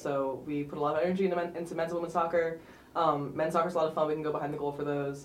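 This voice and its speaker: A woman speaks very fast in a very deep, low pitch with monotone, flat intonation. Audible room echo and noticeable background noise accompany her. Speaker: student club president. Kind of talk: interview.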